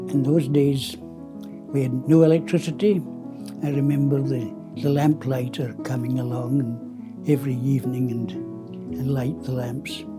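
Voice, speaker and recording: With music in the background, a man with a Scottish accent talks at a fairly slow pace. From southwest Scotland. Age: 80s+. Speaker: printmaker. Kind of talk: interview answer.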